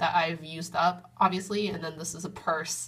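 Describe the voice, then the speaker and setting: Over a quiet background, a woman talks at a moderate pace in a fairly low pitch, with monotone, flat intonation. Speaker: beauty vlogger. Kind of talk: casual vlog chat. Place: bathroom. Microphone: phone near.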